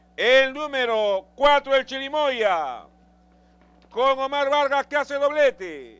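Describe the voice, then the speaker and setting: In a dry, close sound with no echo, a man speaks at an extremely high pitch and a very slow pace. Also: ordinary pitch variation. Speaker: race caller. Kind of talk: live horse race commentary.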